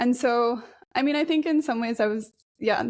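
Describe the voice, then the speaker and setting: The speaker has an American accent and talks at a fairly quick pace. Pitch variation is ordinary. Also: woman. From Japan, raised by Australian and New Zealander parents. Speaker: climate resilience researcher. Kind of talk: interview conversation. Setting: podcast interview.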